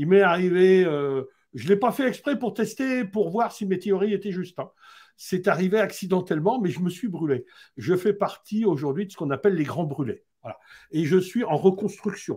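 Over a quiet background, a man talks in a high voice. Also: moderate pace. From Haute-Savoie, France. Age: old. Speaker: building health expert; interview guest. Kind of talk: live-streamed interview. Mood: calm, earnest. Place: home room. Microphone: video call.

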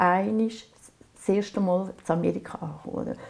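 A woman speaks with a Swiss accent and ordinary pitch variation. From Aargau, Switzerland. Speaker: painter. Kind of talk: oral history interview answer. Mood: calm, reflective, gently animated. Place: workshop.

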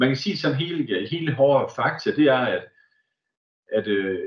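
A man with a somewhat breathy, fairly high voice speaks at a fairly slow pace with lively intonation. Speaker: school staff presenting the program. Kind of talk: online open house presentation. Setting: video call. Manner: halting, many fillers.

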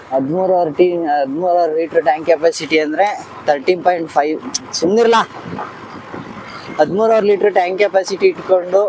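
The speaker is a man with a high pitch, ordinary pitch variation and very even loudness. Noticeable background noise can be heard. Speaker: motorcycle reviewer, YouTuber. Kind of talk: casual bike review vlog. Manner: animated, joking.

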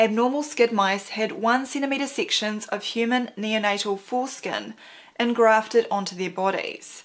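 The pace is moderate. Intonation remains fairly even throughout. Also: woman. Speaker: presenter. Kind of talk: scripted explainer commentary. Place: home room.

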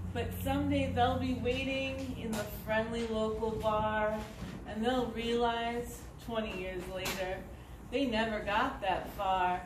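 Noticeable background noise accompanies words spoken at a very slow pace. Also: woman. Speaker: poet reading own poems. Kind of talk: poetry reading, performed poem. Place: stage. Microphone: camera far.

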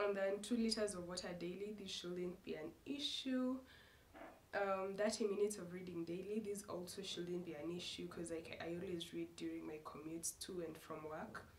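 A woman speaks with medium pitch. Noticeable background noise can be heard. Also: ordinary pitch variation, moderate pace. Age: 20s. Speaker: lifestyle vlogger. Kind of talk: casual vlog to camera. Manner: halting, self-correcting.

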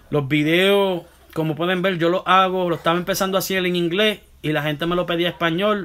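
In a Puerto Rican accent, a man talks at a fairly quick pace with a high pitch and monotone, flat intonation. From Puerto Rico (Santurce), moved to US at 13; Puerto Rico. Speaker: barber. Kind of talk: live stream Q&A. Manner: halting, many self-corrections. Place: home room. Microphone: phone near.

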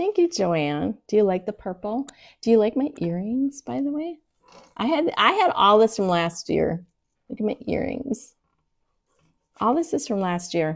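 Very wide pitch swings between long, frequent pauses. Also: woman, quiet background. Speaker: craft live streamer. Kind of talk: casual tutorial chat. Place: home room. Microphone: lapel.

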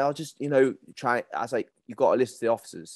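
Very fast speech in a northern English accent, dry with no echo, against a quiet background. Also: man. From northern England. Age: 30s. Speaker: podcast host, men's mental health group founder; podcast guest. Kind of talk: casual interview chat. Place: home room. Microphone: video call.

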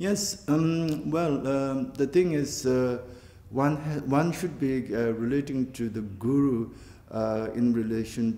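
A man's dark, mellow tone with a Tibetan accent, at a very slow pace amid audible room echo. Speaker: Buddhist teacher. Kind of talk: interview. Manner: halting, many fillers. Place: home room.

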